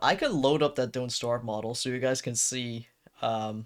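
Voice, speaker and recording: Recorded very cleanly against a silent background, a man with a Dutch accent speaks at a moderate pace. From Netherlands. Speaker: streamer, digital artist. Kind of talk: casual live-stream chat. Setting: home room, door closed.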